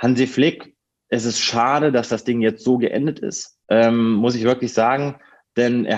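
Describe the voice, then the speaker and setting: He speaks in a plain, everyday voice, pitched at a medium level for a man. His pace is moderate, and his pitch varies in an ordinary way. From northern Hesse, Germany (near Kassel). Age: 30s. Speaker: football reporter. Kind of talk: podcast interview.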